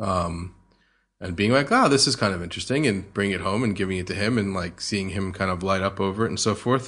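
A fairly low-pitched man with a New Jersey accent. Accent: American, New Jersey. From US, New Jersey. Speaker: sommelier. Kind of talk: interview.

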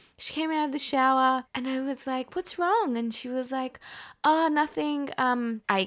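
On a very clean recording with a silent background, a woman speaks fairly slowly in a high, bright, sharp voice. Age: 30s. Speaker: podcast co-host. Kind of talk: casual chat. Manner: talkative.

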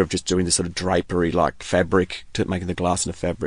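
A man talking at a very fast pace, in an Australian accent. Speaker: glass artist. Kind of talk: interview.

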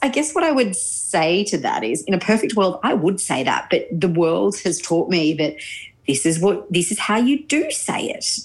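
A woman's somewhat breathy voice at medium pitch, with very wide pitch swings and an Australian accent. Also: moderate pace. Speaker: journalist and newsreader. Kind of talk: interview. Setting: video call.

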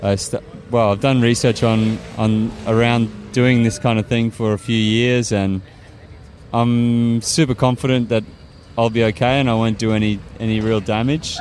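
A man's medium-pitched voice in an Australian accent, monotone and flat, at a fairly slow pace with very even loudness and music in the background. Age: 30s. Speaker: climate activist and engineer. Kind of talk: interview. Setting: outdoors.

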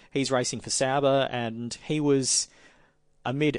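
A man's voice, fairly high in pitch, sits against a quiet background. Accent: Australian. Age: 30s. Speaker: motorsport journalist. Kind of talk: casual chat.

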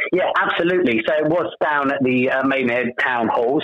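Noticeable background noise sits behind a man with a medium pitch. He speaks at a moderate pace with ordinary pitch variation. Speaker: amateur pantomime cast member. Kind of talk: friendly radio interview, chatty and promotional. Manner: warm, upbeat and conversational, with frequent 'um' fillers.

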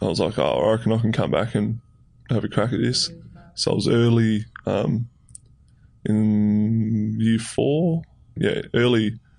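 With an Australian accent, a man at medium pitch speaks at a very even loudness, leaving long, frequent pauses. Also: ordinary pitch variation. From Tasmania, Australia. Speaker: professional footballer. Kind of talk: interview.

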